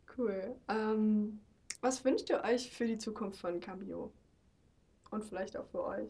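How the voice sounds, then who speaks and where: Speaking very slowly with long, frequent pauses, a woman has a fairly high, somewhat breathy voice with a dark, mellow tone and fairly even intonation. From Germany. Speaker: intern, interviewer. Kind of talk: casual interview.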